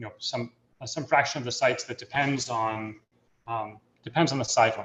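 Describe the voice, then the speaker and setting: This man speaks at a fairly quick pace, his pitch medium and his intonation fairly even. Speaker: mathematician giving invited talk. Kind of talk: lecture. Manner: fast; halting, many fillers.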